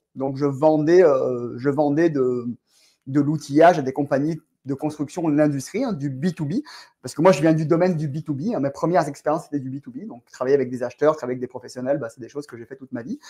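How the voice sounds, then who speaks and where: A man rushes along at a very fast pace, his fairly high voice showing big swings in loudness. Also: ordinary pitch variation. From France. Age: 40s. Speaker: real estate entrepreneur. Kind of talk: podcast interview.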